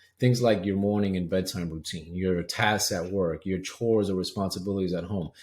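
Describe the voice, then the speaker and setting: A man's voice is fairly low in pitch. He speaks fairly quickly. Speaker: health coach. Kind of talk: webinar presentation. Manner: fast.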